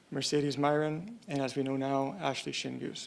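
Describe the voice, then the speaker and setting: Soft-spoken and with a Canadian accent, a man talks at a fairly high pitch with fairly even intonation. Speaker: police official. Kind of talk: press conference statement.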